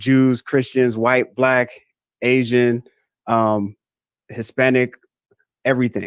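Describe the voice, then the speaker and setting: In a very slow pace with long, frequent pauses, a man with an American accent speaks at a medium pitch. His intonation is monotone and flat, and the sound is dry and close with no echo. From Northern Virginia, US. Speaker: guest sharing conversion story. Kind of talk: interview conversation.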